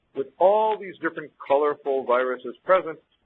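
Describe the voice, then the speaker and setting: A man speaks fairly quickly in a fairly high voice, his pitch varying in an ordinary way. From US Midwest. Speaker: infectious disease physician. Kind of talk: lecture. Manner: fast.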